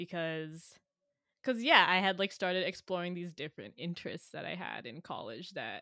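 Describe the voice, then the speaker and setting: Her tone bright and sharp, a woman with an American accent talks at a moderate pace and a medium pitch with ordinary pitch variation. The recording is very clean, with a silent background. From San Jose, Bay Area, California. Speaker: software engineer and musician. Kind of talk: casual conversation. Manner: hesitant, many fillers, laughs often.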